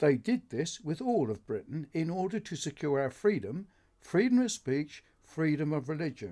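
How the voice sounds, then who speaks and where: A man speaks at a fairly high pitch with a dark, mellow tone and very wide pitch swings. The recording is very clean, with a silent background. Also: moderate pace. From northern England, Oldham. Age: 70s. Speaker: political video blogger. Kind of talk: scripted monologue. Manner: formal.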